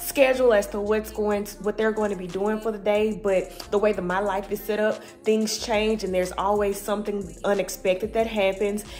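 Over faint background music, a woman talks at a fairly quick pace with monotone, flat intonation. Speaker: home vlogger. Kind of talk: casual vlog chat. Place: home room. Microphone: phone near.

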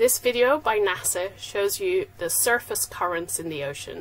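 Very wide pitch swings mark this woman's speech. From Belgium (Leuven, Flemish area); Belgium. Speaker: oceanographer. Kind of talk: recorded science talk. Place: home room. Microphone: webcam.

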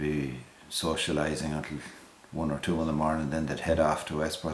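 Over light background noise and audible room echo, a man talks at a fairly quick pace in a very deep, low pitch. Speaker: interviewee. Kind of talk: interview answer. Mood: relaxed, amused. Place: home room. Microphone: camera far.

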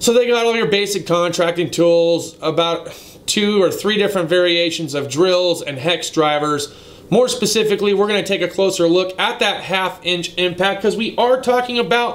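Ordinary pitch variation runs through a man's voice set at a high pitch. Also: moderate pace. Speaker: automotive tool reviewer. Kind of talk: casual vlog commentary. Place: shop. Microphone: phone near.

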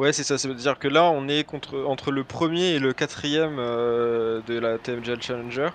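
A man speaks at a fairly slow pace with fairly even intonation and hardly any pauses. Light background noise runs underneath. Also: dry sound with no echo. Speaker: esports co-caster. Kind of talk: live esports commentary.

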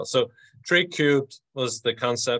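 A man with a Dublin accent talks over a quiet background. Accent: Dublin Irish. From Dublin, Ireland. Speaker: event co-host. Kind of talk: host introduction on webinar. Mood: upbeat, welcoming. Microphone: video call.

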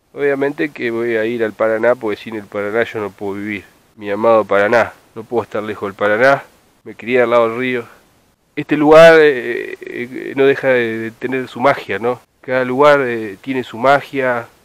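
Delivered at a moderate pace, the speech has fairly even intonation and a dry sound with no echo. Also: man. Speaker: fishing vlogger. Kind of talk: casual vlog chat. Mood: reflective, nostalgic. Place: waterside. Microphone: phone near.

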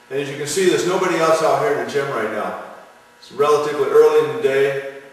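A man is heard speaking with strong room echo. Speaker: strength coach. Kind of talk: tutorial. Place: gym. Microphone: camera far.

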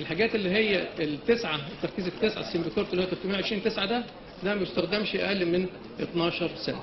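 A man's high voice at a fairly quick pace, fairly even in intonation, amid noticeable background noise. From Egypt. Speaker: pediatric pulmonology professor; workshop lecturer. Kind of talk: lecture. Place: hall. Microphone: camera far.

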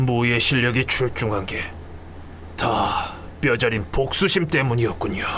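Using a put-on character voice, a man with a medium pitch speaks at a moderate pace with long, frequent pauses over clear background noise. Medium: audio drama. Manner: gruff, blunt.

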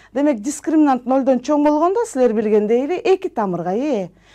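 Against a quiet background, a woman speaks in a dark, mellow tone with very wide pitch swings. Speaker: math teacher. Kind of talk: lecture. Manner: slow.

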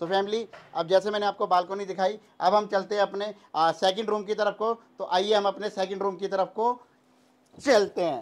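With long, frequent pauses, a man speaks at a high pitch in fairly even intonation. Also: moderate pace. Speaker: real estate dealer. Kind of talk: sales pitch. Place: home room.

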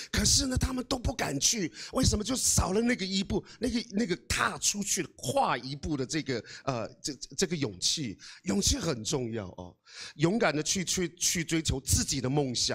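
Over a quiet background, a man speaks at a moderate pace in an animated tone with vocal fry. His fairly high voice makes very wide pitch swings. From Taiwan, Amis village in Hualien; Taiwan. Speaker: guest. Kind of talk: motivational talk. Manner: hesitant, many fillers. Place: hall. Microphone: handheld.

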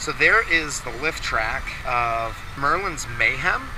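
A man's voice comes through dry with no echo, over noticeable background noise. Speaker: family travel vlogger. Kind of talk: casual vlog commentary. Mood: nervous but amused. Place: open country. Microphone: phone near.

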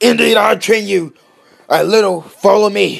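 A man's put-on character voice, high-pitched and strained, at a moderate pace over faint background music. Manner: boastful, put-on.

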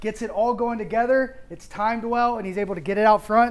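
This is a man with a high pitch. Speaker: baseball analyst. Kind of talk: commentary. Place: studio. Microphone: lapel.

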